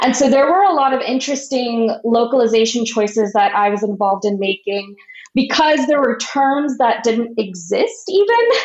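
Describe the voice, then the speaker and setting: The speaker has lively intonation and keeps a moderate pace with very even loudness. Noticeable background noise can be heard. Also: woman, high pitch for a woman. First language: Marathi. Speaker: translator. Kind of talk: casual interview chat.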